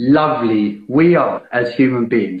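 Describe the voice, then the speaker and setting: Lively intonation runs through a voice that carries a slight breathiness. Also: man. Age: 40s. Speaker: podcast host. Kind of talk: casual chat. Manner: animated.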